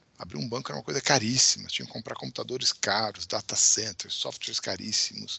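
A man with vocal fry and lively intonation at a fairly quick pace. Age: 50s. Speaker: tech company founder and CEO. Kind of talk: interview.

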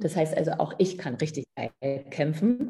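Her pitch is very deep and low for a woman. She talks at a fairly quick pace. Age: 50s. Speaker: midwife and women's coach. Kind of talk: interview.

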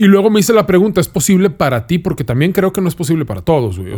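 Speaking fairly quickly, this man has a high-pitched voice. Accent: Mexican. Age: 30s. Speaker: food content creator. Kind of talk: casual chat. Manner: casual, slangy.

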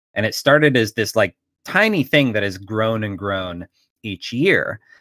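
This man has an unremarkable speaking voice, with ordinary pitch variation and a moderate pace. The recording is very clean, with a silent background and a dry, close sound free of echo. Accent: American. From Pittsburgh, Pennsylvania. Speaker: game designer and publisher. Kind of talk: interview.

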